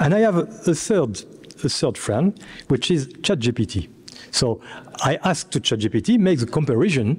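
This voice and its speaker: A somewhat breathy man with a fairly high pitch and a French accent, at a moderate pace with long, frequent pauses, very wide pitch swings and very even loudness. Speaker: computer scientist, panelist. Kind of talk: round table presentation. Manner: halting.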